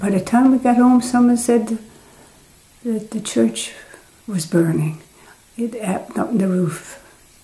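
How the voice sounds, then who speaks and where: Over noticeable background noise, a woman with a Newfoundland accent speaks at a fairly slow pace and a fairly high pitch. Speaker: retired teacher. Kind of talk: oral history interview answer.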